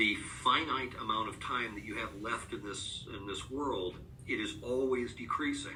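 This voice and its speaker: A man speaks at medium pitch and a moderate pace, with ordinary pitch variation. Noticeable background noise and audible room echo surround him. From US Northeast, upstate New York. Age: 50s. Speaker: author and rare disease advocate. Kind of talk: podcast interview. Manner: hesitant, many filler words; reflective.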